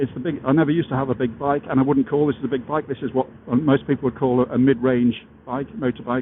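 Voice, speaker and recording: With an English accent, a man speaks at a medium pitch and a fairly quick pace. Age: 60s. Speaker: motorcycle vlogger. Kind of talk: casual vlog monologue. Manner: halting, many fillers.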